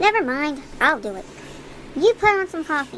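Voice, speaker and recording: A woman does a squeaky, high-pitched put-on character voice at a moderate pace. Her pitch swings very widely and her loudness rises and falls sharply over clear background noise. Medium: read story. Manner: gruff, exasperated.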